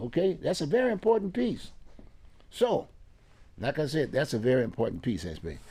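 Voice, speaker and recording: The voice has vocal fry and very wide pitch swings, broken by long, frequent pauses. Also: man. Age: 80s. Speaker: community political commentator. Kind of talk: casual interview chat. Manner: repetitive, stammering restarts.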